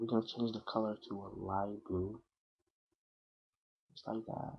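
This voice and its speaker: With a non-native accent, a man speaks in a fairly low voice. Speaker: software tutorial maker. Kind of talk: screen-recorded software tutorial. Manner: hesitant, casual.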